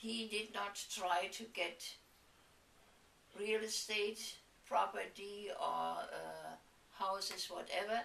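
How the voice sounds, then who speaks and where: Amid noticeable background noise and audible room echo, a woman talks at a very slow pace with long, frequent pauses. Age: 80s+. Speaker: interviewer. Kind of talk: reminiscing interview.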